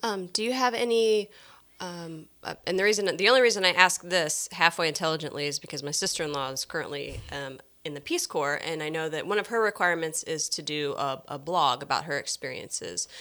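On a very clean recording with a silent background, a woman with a fairly low voice talks at a fairly quick pace with lively intonation. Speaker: podcast host. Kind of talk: casual chat. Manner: exuberant, animated.

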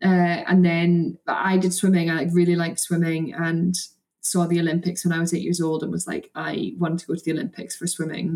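A woman talks at a fairly quick pace in a Scottish accent. Her voice sits fairly low and her intonation is monotone and flat. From Scotland, between Perth and Edinburgh. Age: 20s. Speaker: canoe slalom athlete. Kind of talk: casual chat.

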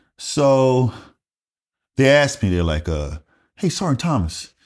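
On a very clean recording with a silent background, a man speaks with a Southern US accent, his fairly high voice making very wide pitch swings at a fairly slow pace. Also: long, frequent pauses. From US South, rural South Carolina. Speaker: retired Air Force master sergeant. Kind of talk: casual interview storytelling.

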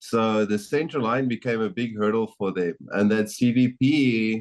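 A man speaks with a South African accent at a fairly low pitch. His intonation stays fairly even. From South Africa, Johannesburg. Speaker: medical device developer. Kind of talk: casual interview chat.

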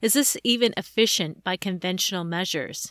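A woman with an ordinary speaking voice and ordinary pitch variation, on a very clean recording with a silent background and a dry, close sound with no echo. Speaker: podcast host. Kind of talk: scripted intro and interview questions.

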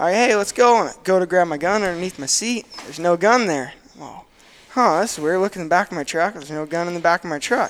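With an American accent, a man talks very fast at a high pitch, his pitch varying ordinarily and his loudness swinging widely. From Northern California. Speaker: duck hunting guide. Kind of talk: casual chat.

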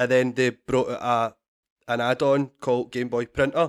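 A man with a Scottish accent speaks at a moderate pace and medium pitch, in a monotone, flat intonation. The sound is dry and close with no echo, and the recording is very clean with a silent background. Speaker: comedian and podcast guest. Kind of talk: casual, Scottish dialect words, swears freely.

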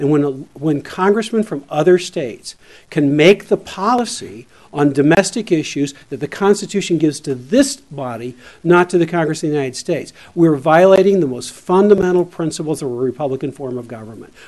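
In a normal speaking voice, a man talks at a fairly quick pace and a fairly high pitch, with lively intonation and big swings in loudness. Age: 60s. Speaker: constitutional lawyer. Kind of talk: legislative testimony. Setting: legislative committee hearing.

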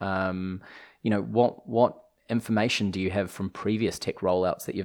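A man speaks with a New Zealand accent at a fairly low pitch. His intonation stays fairly even. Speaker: legal tech executive, former lawyer. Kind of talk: casual interview.

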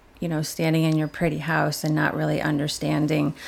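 With a Chicago accent, a woman talks in a very deep, low pitch. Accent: Midwestern US (Chicago area). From Chicago southwest suburbs, Illinois. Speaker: hair salon worker. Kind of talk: casual interview. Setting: kitchen table recording.

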